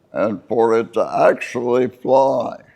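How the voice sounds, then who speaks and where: At a very slow pace, a man talks. He speaks with an American accent. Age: 80s+. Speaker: war veteran. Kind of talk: interview answer.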